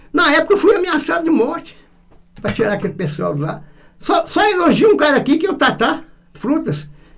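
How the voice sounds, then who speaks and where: A man with extremely high pitch, lively intonation, and a fairly quick pace. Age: 70s. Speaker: public prosecutor. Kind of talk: radio interview. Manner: halting, many repetitions.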